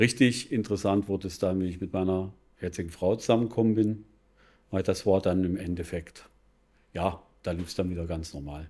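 A man's very deep, low voice with a dark, mellow tone and fairly even intonation, at a fairly quick pace with long, frequent pauses, on a very clean recording over a silent background. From Bavaria (Regensburg). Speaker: financial advisor. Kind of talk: casual interview. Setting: café.

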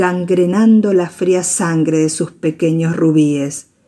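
Very slowly, a woman speaks in a fairly low voice with ordinary pitch variation. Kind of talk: poetry reading, spoken word. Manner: soft, instructive, hushed.

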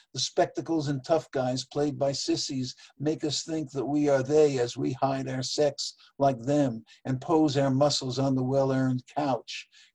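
A man speaks at a fairly slow pace. His voice is somewhat breathy and fairly high in pitch. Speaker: poet and open-mic regular called the judge. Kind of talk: poetry reading, dense literary imagery.

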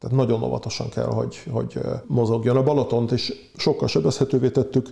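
A man talking at a very fast clip. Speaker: biologist and author. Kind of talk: interview. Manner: passionate.

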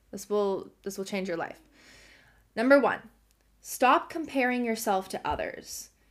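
A warm-toned woman's voice, high-pitched and lively in intonation, at a fairly slow pace. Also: very clean recording, silent background. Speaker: podcast host. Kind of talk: solo podcast monologue on self development. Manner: warm, encouraging, conversational.

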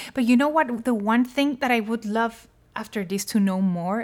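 The recording is very clean, with a silent background. A woman with a Spanish accent talks in a fairly high voice with lively intonation. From Colombia. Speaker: pop singer. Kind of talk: casual chat.

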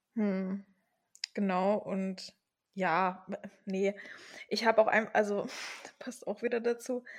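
This woman talks at a very slow pace, with long, frequent pauses. Her intonation is monotone and flat. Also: medium pitch for a woman. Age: 20s. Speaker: podcast co-host. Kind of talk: casual chat.

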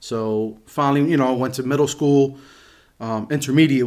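Using a plain, everyday voice, a man with an American accent keeps his intonation fairly even. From Reading, Pennsylvania, US. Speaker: guest sharing life story. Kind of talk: casual chat.

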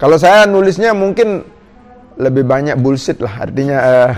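A man with a fairly high pitch speaks at a moderate pace with lively intonation. Noticeable background noise runs underneath. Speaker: senior tour guide. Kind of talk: casual chat; motivational address to listeners. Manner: halting, many fillers.

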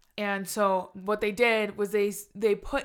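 At a moderate pace, a woman with a fairly high pitch talks in a normal speaking voice on a very clean recording with a silent background. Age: 20s. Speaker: podcast co-host. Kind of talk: casual chat. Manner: laughs often.

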